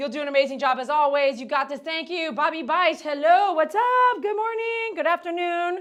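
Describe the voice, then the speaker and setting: A loud, high-pitched woman at a fairly quick pace against a quiet background. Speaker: dog groomer livestreaming. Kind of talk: live stream tutorial. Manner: fast.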